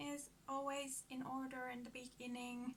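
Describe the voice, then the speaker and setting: A woman's high-pitched, bright, sharp voice in a Finnish accent at a very slow pace. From Finland. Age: 30s. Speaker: book vlogger. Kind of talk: casual vlog introduction. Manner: halting.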